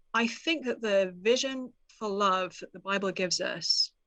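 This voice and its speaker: With a British accent and ordinary pitch variation, the speech plays over a quiet background. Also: woman. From United Kingdom. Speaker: author. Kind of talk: interview.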